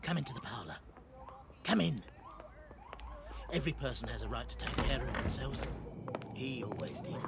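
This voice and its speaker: Doing a put-on character voice, a raspy man talks at a fairly quick pace with long, frequent pauses over loud background noise. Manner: sly, wheedling.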